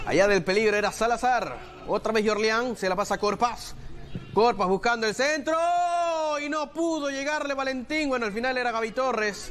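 This man talks at a moderate pace with lively intonation and an extremely high pitch. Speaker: football commentator. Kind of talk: live football commentary.

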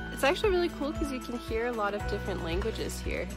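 Clear music plays in the background as a woman speaks at a fairly quick pace, the sound dry with no echo. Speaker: travel vlogger. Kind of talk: casual vlog chat. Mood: cheerful, laughing. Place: open country. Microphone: phone near.

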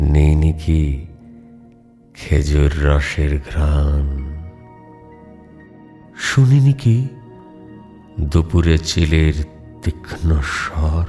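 A man speaks at a very deep, low pitch, sounding strained. Music plays in the background. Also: ordinary pitch variation. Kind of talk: poetry reading. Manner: restrained, moving.

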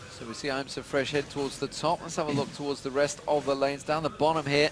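A man speaks over noticeable background noise. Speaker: esports caster. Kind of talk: live commentary.

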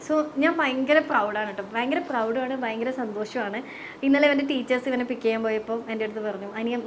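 Light background noise sits behind a woman's voice. She speaks at a high pitch with ordinary pitch variation. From Kerala, Kasaragod; Kerala, India. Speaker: vlogger. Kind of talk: casual chat. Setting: at home. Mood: proud, cheerful. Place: home room. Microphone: lapel.

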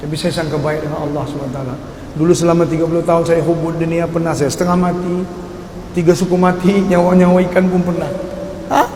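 Over noticeable background noise and audible room echo, a man with a high voice speaks fairly quickly in a flat monotone. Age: 50s. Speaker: dangdut singer. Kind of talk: religious testimony talk.

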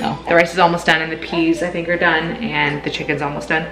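Loud music is playing in the background. A woman talks over it. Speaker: mother vlogger. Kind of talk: casual vlog chat. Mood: warm, relaxed. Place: kitchen. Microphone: phone near.

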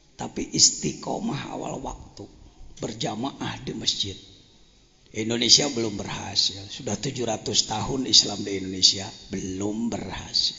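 A man's medium-pitched voice at a fairly slow pace, with big swings in loudness and noticeable background noise. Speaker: Islamic cleric, boarding school head. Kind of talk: religious lecture. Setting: religious gathering with audience.

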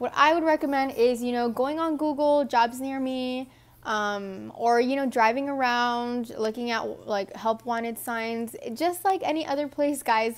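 A high-pitched woman with an American accent, at a fairly slow pace with ordinary pitch variation. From Texas. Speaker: vlogger. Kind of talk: casual Q&A vlog. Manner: animated. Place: home room. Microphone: earbuds.

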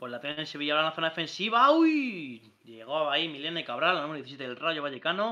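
A man speaks at a very fast clip against a quiet background. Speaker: sports commentator. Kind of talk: live sports commentary. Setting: online stream. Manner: animated, rapid-fire play-by-play. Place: home room.

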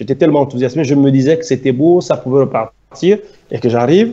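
A man talks at a fairly quick pace in a dark, mellow tone. His pitch varies in an ordinary way. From Gabon. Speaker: former footballer and activist; interview guest. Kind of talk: interview. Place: home room. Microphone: video call.

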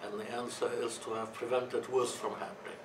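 A man speaks with fairly even intonation against noticeable background noise. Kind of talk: talk to a conference audience. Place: meeting room.

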